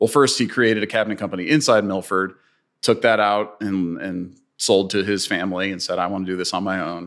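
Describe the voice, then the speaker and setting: An ordinary speaking voice from a man with an American accent, fairly low in pitch, fairly quick and fairly even in intonation, on a very clean recording with a silent background. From US Midwest, St. Louis. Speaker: real estate investor. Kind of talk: interview.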